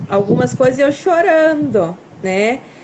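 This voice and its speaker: This woman's pitch swings very widely, with noticeable noise in the background. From Brazil, Paraná. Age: 30s. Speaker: farmer and mother. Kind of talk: testimony. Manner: halting.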